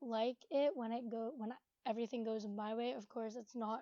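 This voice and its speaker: A woman with a fairly high pitch, a dark, mellow tone and fairly even intonation. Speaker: YouTuber. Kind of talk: casual Q&A vlog. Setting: bedroom at home. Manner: sometimes mumbling.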